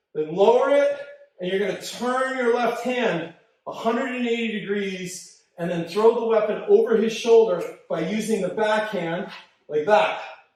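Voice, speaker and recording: Audible room echo surrounds a man talking at a moderate pace, his pitch high with ordinary variation. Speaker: martial arts instructor. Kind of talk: live class instruction. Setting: dojo, live stream.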